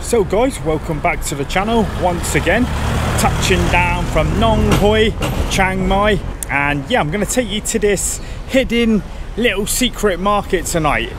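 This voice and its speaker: Speaking at a fairly slow pace, a man with a high pitch and ordinary pitch variation is heard in a dry sound with no echo, over noticeable background noise. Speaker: travel vlogger. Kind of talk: casual vlog chat. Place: street. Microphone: phone near.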